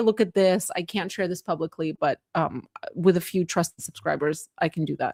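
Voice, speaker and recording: A woman speaks with ordinary pitch variation in a dry, close sound with no echo. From Moldova, then Canada from childhood. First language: Russian. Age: 40s. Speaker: political commentator streamer. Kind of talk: live stream chat. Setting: live stream. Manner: casual, halting with fillers.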